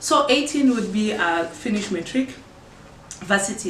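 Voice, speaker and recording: A woman speaks with a Zulu accent. Noticeable background noise and audible room echo fill the recording. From South Africa, KwaZulu-Natal. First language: isiZulu. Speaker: podcast host. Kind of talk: casual Q&A chat. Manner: halting.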